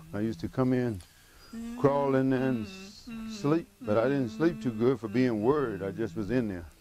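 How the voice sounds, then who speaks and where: A man with a Mississippi accent talks at a moderate pace in a medium pitch, his intonation lively, with music playing in the background. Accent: Southern US (Mississippi). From Mississippi, USA. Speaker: cowboy and miner. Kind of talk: documentary interview, personal account. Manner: soft-spoken.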